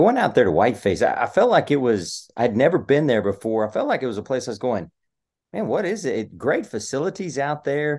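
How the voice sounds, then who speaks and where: Against a quiet background, a man with a Texan accent and a fairly high pitch speaks at a fairly quick pace with very wide pitch swings. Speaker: sports podcast host. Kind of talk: casual sports chat and score rundown.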